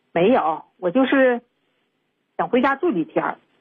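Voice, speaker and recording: Speaking at a fairly slow pace, a woman with a fairly high pitch makes very wide pitch swings. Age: 50s. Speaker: radio call-in listener. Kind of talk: phone-in advice call.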